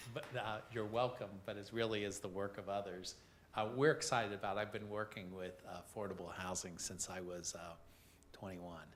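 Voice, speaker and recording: With a fairly quick pace and fairly even intonation, a man talks at a fairly low pitch in a room with audible echo. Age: 70s. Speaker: affordable housing program presenter. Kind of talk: committee meeting presentation. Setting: city council committee meeting.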